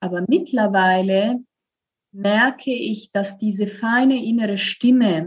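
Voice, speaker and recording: Delivered at a very slow pace, the voice sounds somewhat breathy and has ordinary pitch variation. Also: woman. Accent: Italian. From Italy. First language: Italian (speaking German). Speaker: voice coach. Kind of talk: interview. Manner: hesitant, many fillers.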